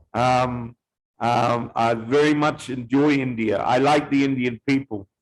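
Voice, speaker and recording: A man speaks at a fairly slow pace in a New Zealand accent. His loudness stays very even and his intonation fairly even. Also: medium pitch for a man, dry, close sound with no echo. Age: 40s. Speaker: visitor talking with language learners. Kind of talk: casual conversation practice. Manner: halting, many fillers; slow, simple wording for learners.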